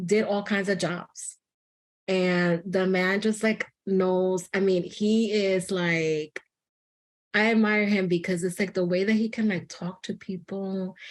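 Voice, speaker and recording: In a Spanish accent, a woman speaks at a very slow pace in a medium pitch. Her intonation is monotone and flat, against a quiet background. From New York City, the Bronx. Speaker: psychotherapist. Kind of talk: interview conversation. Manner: casual with many fillers.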